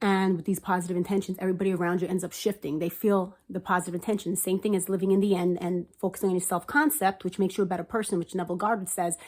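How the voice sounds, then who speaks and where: A woman talks at a very fast pace with hardly any pauses. Her medium-pitched voice keeps a fairly even intonation. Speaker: manifestation vlogger. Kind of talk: casual monologue.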